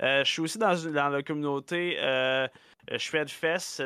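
With a Quebec accent, a man speaks fairly slowly in a fairly high pitch, keeping his intonation fairly even. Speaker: guitarist and music streamer. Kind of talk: casual chat.

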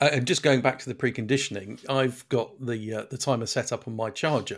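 A man speaks at a fairly quick pace with a British accent, medium pitch and fairly even intonation. The recording is very clean, with a silent background. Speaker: podcast co-host, car reviewer.

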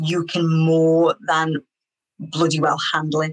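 A woman with a Liverpool accent at a very slow pace, in a dry, close sound with no echo. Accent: Scouse (Liverpool). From Liverpool, England. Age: 30s. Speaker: artist. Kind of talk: interview.

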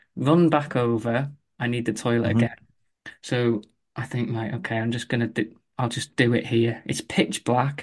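A man's voice at medium pitch, a plain, everyday voice, moderate in pace, with fairly even intonation and a quiet background. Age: 40s. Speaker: running coach. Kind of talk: casual interview.

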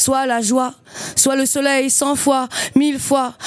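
A woman talks very slowly at a high pitch. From western France, Loire-Atlantique. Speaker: slam poet and performer. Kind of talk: poetry performance; casual interview.

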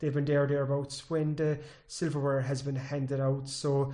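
A man with a West Cork accent speaks in a dark, mellow tone with monotone, flat intonation. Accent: West Cork Irish. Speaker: sports editor and co-host. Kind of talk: casual sports chat and interviewing.

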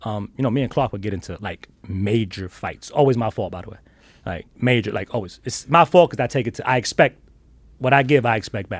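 Speaking at a fairly quick pace with a New York accent, a man uses a medium pitch and ordinary pitch variation, his loudness swinging widely. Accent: New York (Bronx). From New York, South Bronx. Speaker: sneaker collector. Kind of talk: casual chat. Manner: animated.

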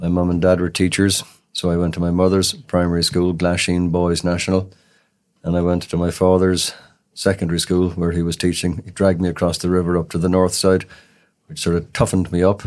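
A man with a Cork accent, very deep and low, flat and monotone at a fairly quick pace, on a very clean recording with a silent background. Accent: Cork Irish. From Cork city, Ireland. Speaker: criminal defence solicitor. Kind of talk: interview. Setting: studio.

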